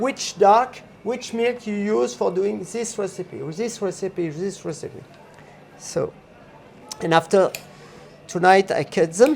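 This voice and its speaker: With a French accent, a man speaks at a high pitch with ordinary pitch variation and long, frequent pauses. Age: 60s. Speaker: chocolatier. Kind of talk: casual interview. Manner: halting.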